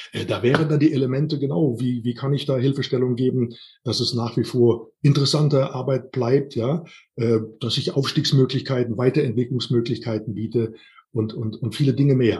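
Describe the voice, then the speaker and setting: A man's somewhat breathy voice at medium pitch, with ordinary pitch variation and a moderate pace, over a quiet background. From Rhineland, Siebengebirge near Bonn. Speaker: workplace health and safety trainer. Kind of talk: interview.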